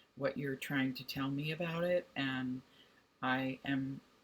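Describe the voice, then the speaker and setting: Her voice is very deep and low for a woman, warm in tone and somewhat breathy. She speaks fairly slowly with ordinary pitch variation. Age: 60s. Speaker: college instructor. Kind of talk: direct video message to students. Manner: warm, conversational.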